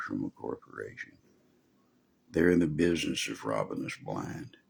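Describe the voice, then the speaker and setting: A man speaks at a moderate pace with a strong Texan accent. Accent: Texan, pronounced. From Texas. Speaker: preacher. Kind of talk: sermon. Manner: casual, folksy.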